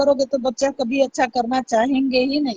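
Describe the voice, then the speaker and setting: A woman speaks loudly. Her pitch is high. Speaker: YouTube livestreamer. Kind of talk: live stream talk to viewers.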